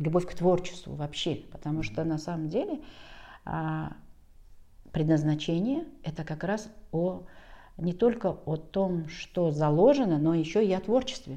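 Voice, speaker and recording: A woman's fairly low, dark and mellow voice in a calm tone, fairly slow, with long, frequent pauses and ordinary pitch variation. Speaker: school director. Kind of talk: interview. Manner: calm, unhurried.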